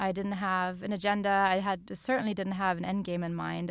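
A woman speaks with a German accent. Her medium-pitched voice keeps a fairly even intonation. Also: very clean recording, silent background. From Germany. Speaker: novelist. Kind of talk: interview. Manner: halting.

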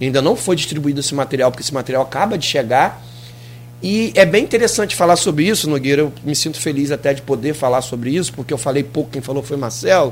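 Very rapid speech from a man, fairly high in pitch and normal in pitch variation. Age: 40s. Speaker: municipal sports director. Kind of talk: radio interview. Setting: radio studio.

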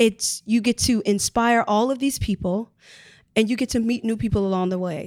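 A woman with an American accent uses an ordinary speaking voice at a medium pitch, with ordinary pitch variation. The sound is dry and close, with no echo. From US Midwest, Chicago. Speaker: Broadway performer. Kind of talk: casual interview.

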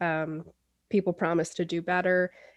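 A woman speaks in a normal speaking voice, fairly low in pitch, at a moderate pace. The background is quiet. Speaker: magazine editor, interviewer. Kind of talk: interview.

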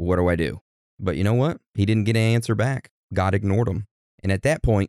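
It is a natural reading voice over a quiet background.

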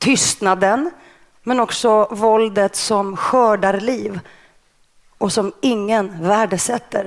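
A woman with a Greek accent, very slow pace and ordinary pitch variation. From Stockholm suburb (Rinkeby), born in Greece. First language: Greek (speaking Swedish). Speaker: journalist and author. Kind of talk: interview. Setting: stage with audience.

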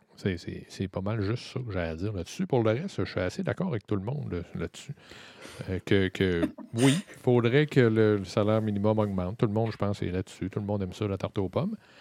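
A man's fairly low voice at a fairly quick pace, with ordinary pitch variation, a dry, close sound with no echo, and noticeable background noise. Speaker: political commentator. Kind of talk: casual political discussion. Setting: studio.

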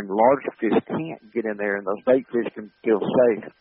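A man with a Southern US accent speaks at a moderate pace and a medium pitch. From US South, Montgomery, Alabama. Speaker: wildlife habitat manager. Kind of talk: interview.

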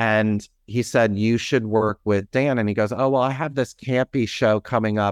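In a plain, everyday voice with an American accent, a man speaks at a moderate pace and fairly low pitch with ordinary pitch variation, recorded dry and close with no echo against a quiet background. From US Midwest, near Cleveland, Ohio. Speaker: theater artistic director and choreographer. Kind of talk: interview.

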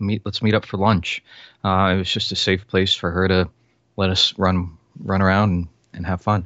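Very deep and low, a man's voice with an American accent moves at a fairly slow pace. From Florida. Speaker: author and filmmaker. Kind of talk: casual interview chat.

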